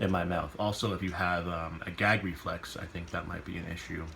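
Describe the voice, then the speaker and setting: This man has a very deep, low pitch and a Canadian accent. Room echo is audible around his voice. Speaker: vlogger. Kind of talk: personal vlog. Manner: halting, many fillers.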